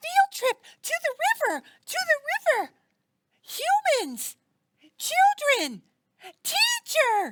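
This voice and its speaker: A cartoonish character voice, female-sounding and extremely high, swings very widely in pitch. It moves at a very slow pace with long, frequent pauses. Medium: puppet. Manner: excitable, chirpy, repetitive.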